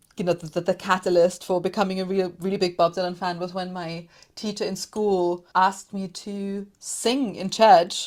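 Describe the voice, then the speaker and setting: A woman speaks at medium pitch in a flat, monotone delivery with a German accent. The recording is very clean, with a silent background. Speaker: podcaster, music commentator. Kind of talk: casual interview chat.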